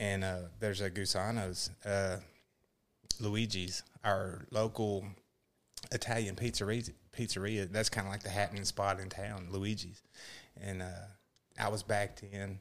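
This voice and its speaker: Speaking with a Texan accent, a man with a fairly low pitch talks at a fairly slow pace in a monotone, flat delivery with long, frequent pauses. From Texas. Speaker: former Marine, social media creator. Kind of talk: casual chat.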